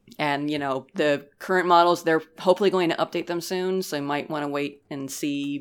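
Her pitch is very deep and low, and her intonation fairly even, as this woman speaks at a moderate pace. The recording is very clean, with a silent background. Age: 30s. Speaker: game reviewer. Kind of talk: casual chat.

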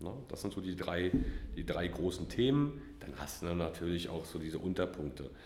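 Audible room echo surrounds a man with a very deep, low pitch who speaks at a moderate pace with lively intonation. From Mecklenburg-Vorpommern, northeastern Germany. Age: 30s. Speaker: criminal defence lawyer. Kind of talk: interview.

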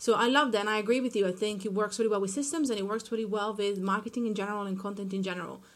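A woman with an Italian accent and a medium pitch speaks very fast with fairly even intonation and hardly any pauses. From Italy. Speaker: marketing consultant. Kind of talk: casual interview.

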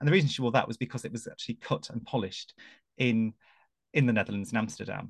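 A man with an English accent speaks very fast, with vocal fry and ordinary pitch variation. The sound is dry and close, with no echo. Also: medium pitch for a man. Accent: English, quintessentially English. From England. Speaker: royal commentator and broadcaster. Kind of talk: casual conversation.

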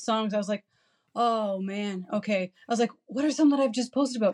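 A woman with a Canadian accent and a normal speaking voice talks at a fairly quick pace with fairly high pitch. Her intonation is fairly even, and the sound is dry and close with no echo. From St. Catharines, Ontario. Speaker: marketing and PR agency co-owner. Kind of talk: casual interview chat.

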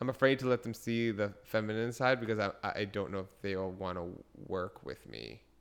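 Speaking at a fairly quick pace, a man with a fairly low pitch sounds animated, with ordinary pitch variation. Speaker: podcast co-host. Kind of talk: casual comedic chat. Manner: animated, excitable.

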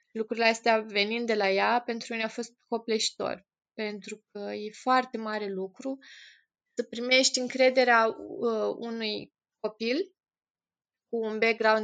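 A woman speaks at a fairly slow pace with a monotone, flat intonation. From Romania, Moldavia region (Piatra Neamț). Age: 20s. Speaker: volunteer with institutionalized children. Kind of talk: interview.

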